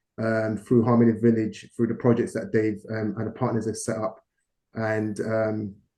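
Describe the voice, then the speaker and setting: At a moderate pace, a man talks at medium pitch in a dark, mellow tone with monotone, flat intonation. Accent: British. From London, England. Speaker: business partner, investor. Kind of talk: investor presentation talk. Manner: hesitant, many fillers.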